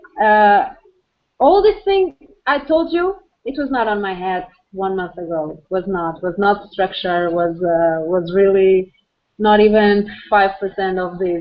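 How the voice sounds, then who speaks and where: A woman speaks at a fairly slow pace in a medium pitch. She has a Portuguese accent. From Portugal. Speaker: architect and entrepreneur. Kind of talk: video call discussion. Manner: halting.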